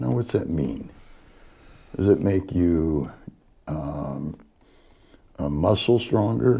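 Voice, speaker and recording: Speaking very slowly with long, frequent pauses, a man with an American accent uses a very deep, low voice of dark, mellow tone, full of vocal fry and very wide pitch swings. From Humboldt County, northern California. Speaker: woodworker and TV craftsman, Vietnam veteran. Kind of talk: casual interview.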